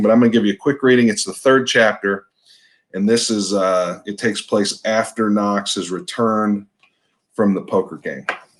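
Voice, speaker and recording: A man with an American accent and a plain, everyday voice, fairly low in pitch, at a moderate pace with fairly even intonation, in a very clean recording with a silent background. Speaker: novelist, author. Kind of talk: casual talk to camera, introducing a reading. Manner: relaxed, conversational.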